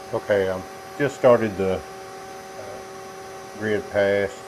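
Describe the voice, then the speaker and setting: A man with a very deep, low pitch speaks in a relaxed tone at a moderate pace with ordinary pitch variation. Noticeable background noise is present. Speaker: woodworker, CNC hobbyist. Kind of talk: casual tutorial talk to camera. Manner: relaxed, folksy.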